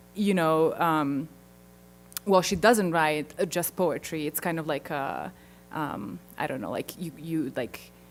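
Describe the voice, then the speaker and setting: In a non-native accent, a woman speaks very slowly with a very deep, low pitch and vocal fry, recorded very cleanly against a silent background. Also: ordinary pitch variation. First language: not English. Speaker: linguistics researcher. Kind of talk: conference Q&A. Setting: conference auditorium.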